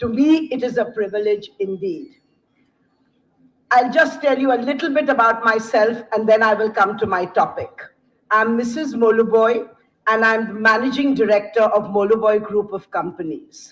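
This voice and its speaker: A woman uses a plain, everyday voice, fairly high in pitch, at a moderate pace with ordinary pitch variation. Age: 60s. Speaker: company managing director. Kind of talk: keynote speech. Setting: stage with audience.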